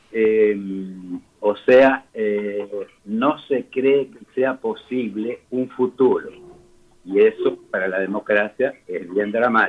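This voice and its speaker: This man speaks at a very slow pace, his loudness swinging widely. His medium pitch holds a fairly even intonation. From Rosario, Argentina. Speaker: architect. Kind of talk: interview answer.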